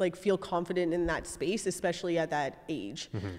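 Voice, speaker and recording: A woman talks at a fairly quick pace. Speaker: podcast guest, fitness coach. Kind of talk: interview answer. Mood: candid, relaxed, some laughter. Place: studio. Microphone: handheld.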